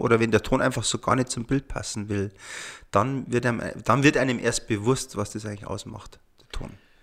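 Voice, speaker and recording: A normal speaking voice with ordinary pitch variation and a moderate pace, on a very clean recording with a silent background. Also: man. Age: 40s. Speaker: sound engineer. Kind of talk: casual chat.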